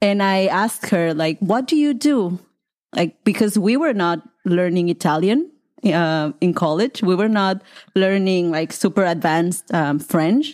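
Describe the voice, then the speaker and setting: In a very clean recording with a silent background, a woman with a Mexican accent speaks at a medium pitch with lively intonation and very even loudness. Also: fairly slow pace. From Colima, Mexico. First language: Spanish. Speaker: Spanish teacher. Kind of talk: interview.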